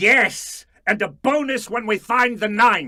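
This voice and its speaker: A man puts on a character voice pitched high, raised and projected, with lively intonation. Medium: audio drama. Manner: menacing.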